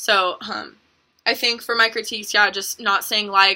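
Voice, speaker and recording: Delivery comes at a moderate pace in a bright, sharp tone. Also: woman. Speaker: college student presenter. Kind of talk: self-critique reflection. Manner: halting, many ums.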